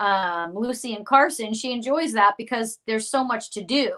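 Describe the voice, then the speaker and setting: A woman speaks loudly at a fairly high pitch with ordinary pitch variation. Her tone is bright and sharp, and the recording is very clean, with a silent background. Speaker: psychic medium. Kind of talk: casual chat.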